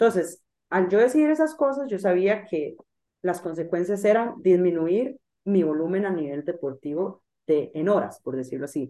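A woman's medium-pitched voice with a dark, mellow tone, very wide pitch swings, and a moderate pace. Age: 20s. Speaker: triathlon coach. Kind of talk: interview.

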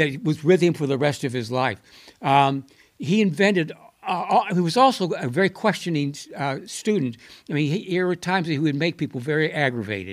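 On a very clean recording with a silent background, a man with an American accent talks at a fairly quick pace, his fairly high pitch carried by lively intonation. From Buffalo, New York. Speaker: architecture professor. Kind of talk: interview. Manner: halting, many fillers.

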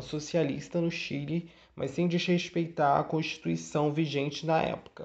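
At a moderate pace, a man talks in a fairly high, monotone voice with flat intonation. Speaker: history student podcaster. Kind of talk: educational monologue. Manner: casual, hesitant with fillers.

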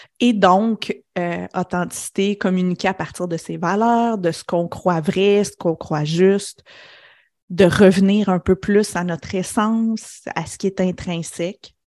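A woman speaks at a fairly slow pace and medium pitch, her intonation fairly even. The recording is very clean with a silent background. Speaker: business coach. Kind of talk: interview conversation. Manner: reflective, with pauses.

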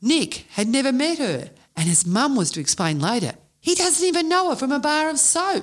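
A woman speaks in an Australian accent at a moderate pace, her pitch high. Her pitch swings very widely while her loudness stays very even. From Australia, Melbourne western suburbs. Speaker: podcast co-host and anthology author. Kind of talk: reading aloud.

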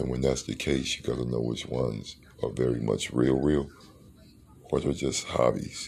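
Speaking at a moderate pace, a man with a very deep, low pitch uses monotone, flat intonation and vocal fry. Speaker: podcast host. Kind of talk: solo monologue podcast episode.

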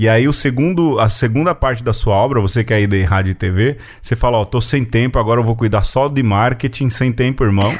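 Against a quiet background, a man with a plain, everyday voice speaks at a medium pitch and a fairly quick pace, with hardly any pauses, very even loudness, and ordinary pitch variation. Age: 40s. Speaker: podcast host. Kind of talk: casual chat.

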